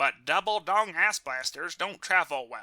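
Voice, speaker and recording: Put-on character voice from a man at a fairly slow pace. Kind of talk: NPR-style radio journalism. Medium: comedy sketch. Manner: deadpan, measured.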